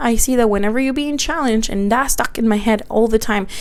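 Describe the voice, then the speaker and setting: A woman's animated, fairly high voice with a Spanish accent and ordinary pitch variation, amid noticeable background noise and audible room echo. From Mexico, Guanajuato; moved to the US at twelve. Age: 30s. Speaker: podcaster and small business owner. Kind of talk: casual personal monologue.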